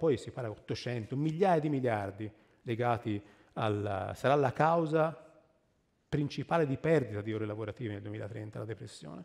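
Everything behind the voice is quiet. A man's medium-pitched voice moves with ordinary pitch variation. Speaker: tree scientist speaker; speaker. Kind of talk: public lecture. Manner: animated. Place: stage.

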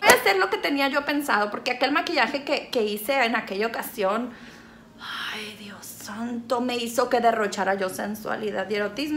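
An animated, high-pitched woman's voice over light background noise. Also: big swings in loudness. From Mexico, Sinaloa. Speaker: YouTuber. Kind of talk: makeup tutorial. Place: home room. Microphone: phone near.

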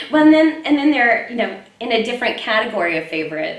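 With an American accent, a woman talks while the room's echo can be heard. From Texas. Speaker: voice actress. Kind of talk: casual interview. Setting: convention interview. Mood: warm, animated. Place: hall. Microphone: handheld.

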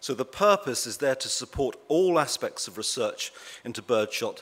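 A man is speaking. He has a Birmingham accent. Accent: Birmingham (Brummie) English. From England, Birmingham. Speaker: eye doctor and uveitis researcher. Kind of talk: conference presentation to patients and professionals. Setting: stage with audience. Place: hall. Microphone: podium.

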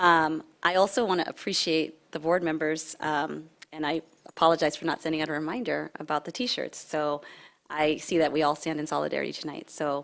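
On a very clean recording with a silent background, a woman speaks at a very deep, low pitch with vocal fry. Her intonation is fairly even and her pace fairly quick. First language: not English. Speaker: task force presenter. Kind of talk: board meeting presentation. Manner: halting, many fillers.

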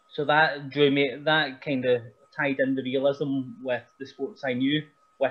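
Speaking with a Scottish accent, a man holds a fairly high pitch and fairly even intonation. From Scotland. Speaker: pro wrestler. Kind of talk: casual chat. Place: home room. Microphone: video call.

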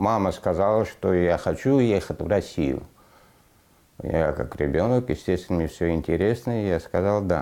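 At a moderate pace, a man speaks with a very deep, low pitch and a dark, mellow tone, his loudness very even and his pitch variation ordinary. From Afghanistan (Parwan), raised in Russia from age 11; Afghanistan. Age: 40s. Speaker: aircraft mechanic facing deportation; interviewee. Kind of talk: interview. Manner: halting. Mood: calm, reflective, somewhat sad. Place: home room.

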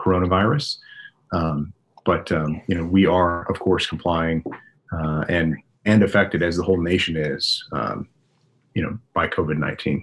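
A man speaks with a very deep, low voice and fairly even intonation. His moderate pace is broken by long, frequent pauses. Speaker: remote guest. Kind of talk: interview answer. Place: home room. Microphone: video call.

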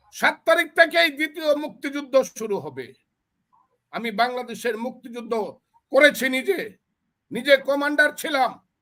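An animated, bright and sharp male voice, extremely high in pitch, raised and projected, with ordinary pitch variation and big swings in loudness. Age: 70s. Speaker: veteran politician and lawyer. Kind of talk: political commentary.

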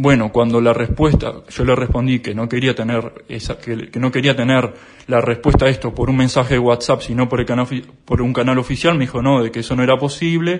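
A man with a normal speaking voice talks at a fairly quick pace in a medium pitch. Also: fairly even intonation. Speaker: accountant and whistleblower. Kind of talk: interview testimony.

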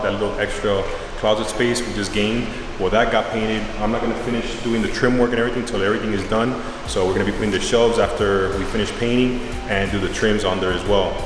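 Speaking very fast, a man is heard with noticeable background noise and audible room echo. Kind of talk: casual vlog chat. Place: empty room. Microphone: phone near.

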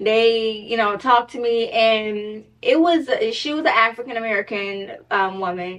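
A woman with ordinary pitch variation. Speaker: storyteller vlogger. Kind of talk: casual storytime vlog chat.

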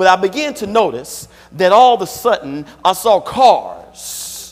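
The man's speech has lively intonation. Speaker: preacher. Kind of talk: sermon. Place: church.

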